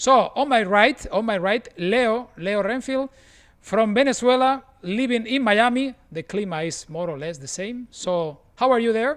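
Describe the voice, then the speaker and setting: A man speaks in a high pitch with lively intonation. His loudness swings widely. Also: fairly slow pace. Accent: Spanish. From Spain, Barcelona. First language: Spanish or Catalan. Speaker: photographer, live show host. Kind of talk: live video chat hosting. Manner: halting, repetitive.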